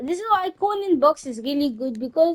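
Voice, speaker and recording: A woman with a non-native accent speaks in a high pitch, her voice making very wide pitch swings. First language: not English. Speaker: gaming YouTuber. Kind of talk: gameplay tutorial. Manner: halting, many restarts.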